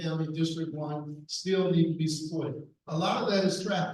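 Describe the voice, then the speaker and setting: The pitch of this man's voice is fairly high, and his intonation is monotone and flat. He keeps a moderate pace, with audible room echo around him. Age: 70s. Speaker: political candidate. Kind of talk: candidate forum answers. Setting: public forum with mic.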